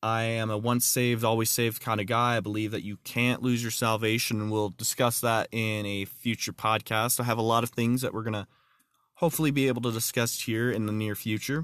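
At a fairly quick pace, a man with an American accent speaks in a monotone, flat intonation at a medium pitch. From Texas. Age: 20s. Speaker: podcast host. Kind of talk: religious talk podcast. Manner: halting.

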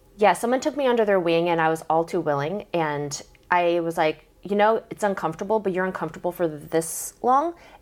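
A woman's fairly low pitch, fairly quick pace with hardly any pauses, ordinary pitch variation, and a plain, everyday voice. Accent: American. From South Korea, then Portland, Oregon. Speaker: guest, triathlete. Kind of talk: casual chat.

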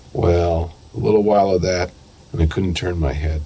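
A man talks at a fairly slow pace in a very deep, low pitch. His pitch variation is ordinary, and there is noticeable background noise. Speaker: poet and professor. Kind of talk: poem reading, then interview answers. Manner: measured, deliberate, reflective.

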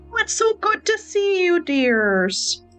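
Faint music plays in the background as a female-sounding, put-on character voice speaks at an extremely high pitch and a fairly slow pace. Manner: warm, affectionate greeting.

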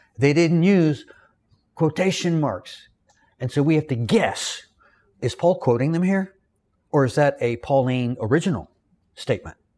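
This dark, mellow voice speaks with a Southern US accent at a moderate pace, with long, frequent pauses. The recording is very clean, with a silent background. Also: man. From US South. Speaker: Bible teacher. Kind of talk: lecture. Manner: halting, frequent repetitions.

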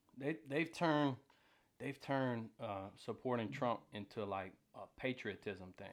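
A man speaks with an American accent in a normal speaking voice, at a fairly slow pace. His medium pitch varies in an ordinary way, and the recording is very clean with a silent background. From US South (Atlanta). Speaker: oil field worker. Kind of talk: casual chat.

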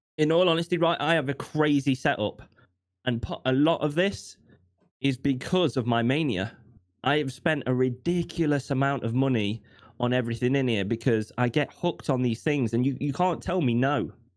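In a very clean recording with a silent background, a man with a British accent speaks at a moderate pace, his medium pitch showing ordinary variation and his loudness very even. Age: 20s. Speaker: streamer and accountability coach. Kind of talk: casual interview, personal testimony.

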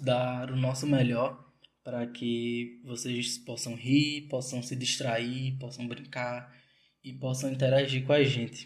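In a room with audible echo, a man speaks at medium pitch in a flat monotone. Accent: strong Northeastern Brazilian. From interior of Pernambuco, Brazil. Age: 20s. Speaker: podcast co-host, dance student. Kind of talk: casual podcast intro.

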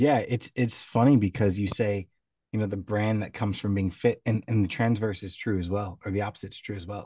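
This man's voice is fairly low in pitch, somewhat breathy and dark and mellow in tone, with fairly even intonation at a fairly quick pace. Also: quiet background. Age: 30s. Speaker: podcast co-host, sales manager. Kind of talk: casual chat.

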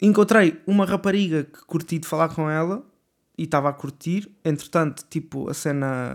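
A man at a moderate pace uses a fairly high pitch with ordinary pitch variation. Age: 20s. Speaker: podcaster. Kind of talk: casual monologue. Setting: home bedroom. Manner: hesitant, many fillers.

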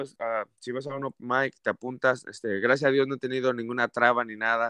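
A man with a plain, everyday voice talks at a moderate pace and medium pitch, in a dry, close sound with no echo and a quiet background. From Mexico City. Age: 30s. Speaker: comedian. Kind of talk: casual interview.

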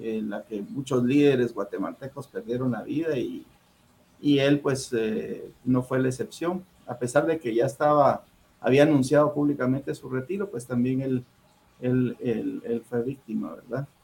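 At a fairly slow pace, a man with medium pitch speaks in a somewhat breathy voice. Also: ordinary pitch variation. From Guatemala City, Guatemala. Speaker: diplomat. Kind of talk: interview. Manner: halting.

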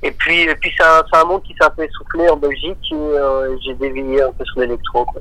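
Noticeable background noise behind a man speaking at a moderate pace with hardly any pauses. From Belgium, Marchienne near Charleroi. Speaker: electronic music artist. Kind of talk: radio interview.

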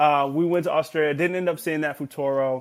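A man speaks with an American accent at a moderate pace. His intonation stays fairly even. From Los Angeles, California. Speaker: vacation rental host and music producer. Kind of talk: casual interview chat.

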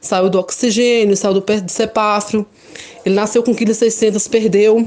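The delivery is rather unhurried, and the intonation stays fairly level. It is an ordinary speaking voice. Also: woman. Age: 20s. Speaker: mother giving testimony. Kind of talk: testimony.

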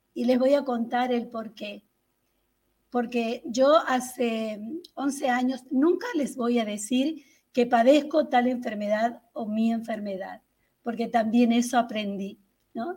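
A woman's high-pitched voice, dark and mellow in tone, at a very slow pace with ordinary pitch variation. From Tucumán, northern Argentina. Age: 60s. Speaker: health testimony guest. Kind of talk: testimony. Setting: video call. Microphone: far from the camera.

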